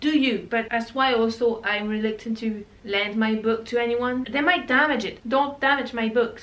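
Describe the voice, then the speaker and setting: A woman talks at a moderate pace in a fairly high voice, with hardly any pauses. Her intonation stays fairly even. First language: not English. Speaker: booktuber. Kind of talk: casual chat. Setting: home, reorganizing bookshelves.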